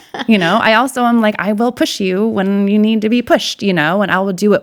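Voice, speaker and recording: A woman speaks in an animated tone. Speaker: life coach and breast cancer survivor. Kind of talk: interview. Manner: loud.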